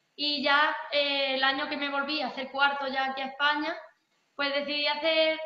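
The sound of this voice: A woman speaks at a high pitch with little pitch movement. Audible room echo is present.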